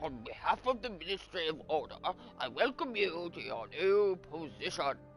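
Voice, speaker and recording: Clear music plays in the background. Someone performs a put-on character voice at a moderate pace. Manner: stern, formal.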